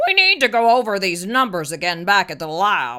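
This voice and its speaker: In a raspy put-on character voice at medium pitch, a woman speaks at a moderate pace with lively intonation. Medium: read story. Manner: authoritative.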